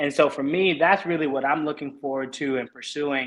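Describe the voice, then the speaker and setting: A man with an American accent talks in an unremarkable speaking voice. His pitch is fairly high, and his intonation stays fairly even. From Oakland, California. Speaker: realtor. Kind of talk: interview answers.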